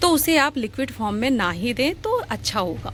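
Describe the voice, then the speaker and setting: A woman's high pitch swings very widely as she talks at a moderate pace. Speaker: gardening vlogger. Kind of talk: casual tutorial vlog. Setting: outdoors on a rooftop terrace garden. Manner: conversational, chatty.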